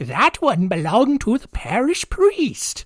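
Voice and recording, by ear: A put-on character voice, high-pitched, with very wide pitch swings and a fairly slow pace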